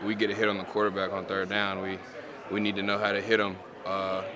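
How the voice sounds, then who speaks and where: A man's fairly low voice at a very fast pace, monotone and flat, with noticeable background noise. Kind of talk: interview answer.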